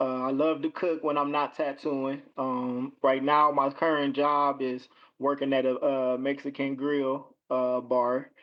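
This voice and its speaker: Hardly pausing, a man speaks at a fairly high pitch and a fairly slow pace. His intonation is monotone and flat. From Cleveland, Ohio. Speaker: tattoo artist. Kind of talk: interview answer. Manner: casual, hesitant.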